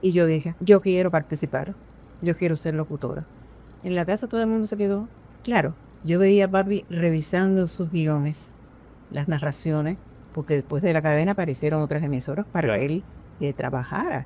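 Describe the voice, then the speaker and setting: Using a dark, mellow tone, a woman speaks at a fairly low pitch and a moderate pace, with ordinary pitch variation and long, frequent pauses. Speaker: veteran radio announcer, national radio prize winner. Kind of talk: interview answer, personal recollection.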